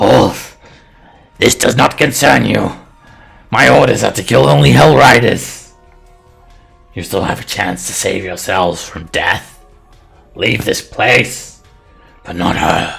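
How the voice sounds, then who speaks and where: A man uses a put-on character voice with a very deep, low pitch, speaking at a fairly slow pace while faint music plays in the background. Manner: yelling, menacing.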